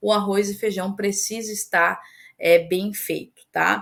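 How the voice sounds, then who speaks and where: At a fairly slow pace, a woman with a medium pitch and an unremarkable speaking voice is heard on a very clean recording with a silent background. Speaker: course instructor. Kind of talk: lecture.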